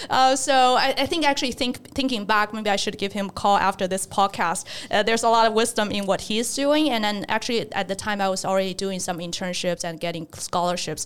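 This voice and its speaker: Speaking fairly quickly, a woman uses a medium pitch and ordinary pitch variation. She has a Chinese accent. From China, near Shanghai. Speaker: investment researcher. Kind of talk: interview conversation.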